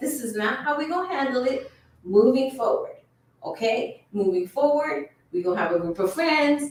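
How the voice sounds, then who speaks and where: In an animated tone, a woman talks in a high voice with very wide pitch swings. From US South, Miami, Florida. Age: 40s. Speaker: lawyer and online show host. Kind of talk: casual commentary livestream.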